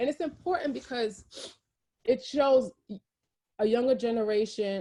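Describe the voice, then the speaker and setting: Dark and mellow in tone, a woman's voice carries a New York accent. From Brooklyn, New York. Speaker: champagne brand founder. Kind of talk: interview. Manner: fast.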